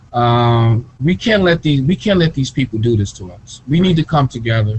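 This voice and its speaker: Somewhat breathy and lively in intonation, a man with an American accent talks at medium pitch, his loudness swinging widely. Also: moderate pace. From US Midwest (Gary, Indiana). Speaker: author and researcher. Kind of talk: interview.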